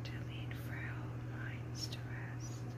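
The speaker is whispering. Noticeable background noise runs under the voice. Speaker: ASMR creator. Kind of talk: poetry reading. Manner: whispered.

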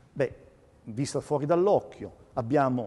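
Moderate pace from a man with a dark, mellow tone. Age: 60s. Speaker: physicist and colorimetry lecturer. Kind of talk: lecture. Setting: museum evening talk with audience.

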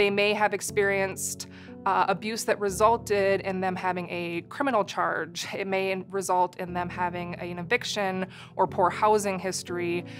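Over clear music in the background, a woman speaks at a moderate pace with monotone, flat intonation. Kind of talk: interview answer. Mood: calm, serious. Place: studio.

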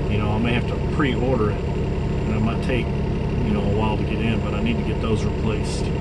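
Loud background noise fills the clip. Over it, a man talks at a moderate pace. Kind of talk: casual vlog chat. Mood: relaxed, day off. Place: car. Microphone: camera far.

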